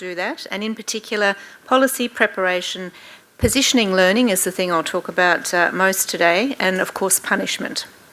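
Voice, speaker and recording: In an Australian accent, a woman talks at a fairly quick pace with ordinary pitch variation. Noticeable background noise can be heard. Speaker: professor. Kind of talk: workshop lecture. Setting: room with live audience. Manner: fast.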